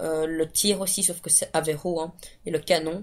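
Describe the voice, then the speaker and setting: A woman's fairly low voice, monotone and flat, at a fairly slow pace. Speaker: gaming video creator. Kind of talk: gameplay commentary. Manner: halting, many fillers.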